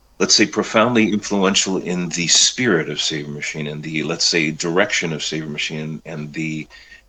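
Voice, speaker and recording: Over noticeable background noise, a man with an American accent speaks with hardly any pauses, using a very deep, low pitch and ordinary pitch variation. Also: moderate pace. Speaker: rock singer. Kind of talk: interview. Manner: halting, many fillers.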